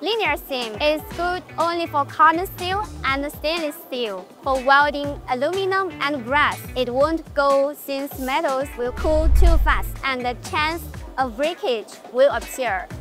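A woman speaks at a very slow pace in a high voice. The sound is dry with no echo, and music plays clearly in the background. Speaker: presenter. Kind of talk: product tutorial presentation. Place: hall. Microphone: lapel.

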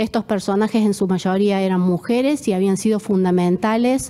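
A woman's dark, mellow voice at a fairly slow pace. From Argentina. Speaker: architect and researcher; presenter. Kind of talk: presentation. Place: home room.

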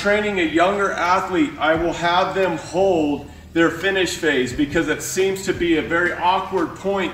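In a room with audible echo and faint music in the background, a man speaks at a fairly slow pace in a high voice with fairly even intonation. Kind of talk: tutorial. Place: gym. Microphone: camera far.

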